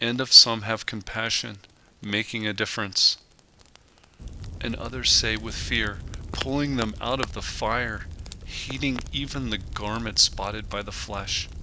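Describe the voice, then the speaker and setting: A man at a medium pitch speaks at a fairly slow pace with long, frequent pauses over noticeable background noise. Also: ordinary pitch variation. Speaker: handyman. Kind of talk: audio Bible reading.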